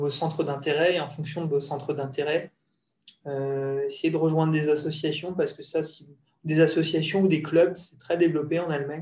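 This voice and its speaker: Someone speaks at a moderate pace in a monotone, flat intonation. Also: man. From Alsace, France. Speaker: French expat professional. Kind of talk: casual interview.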